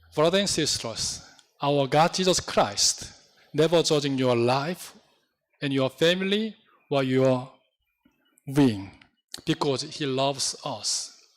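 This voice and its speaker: A man with a Korean accent at a fairly high pitch, very slow and broken by long, frequent pauses, with ordinary pitch variation. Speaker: pastor. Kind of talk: sermon. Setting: church. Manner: halting.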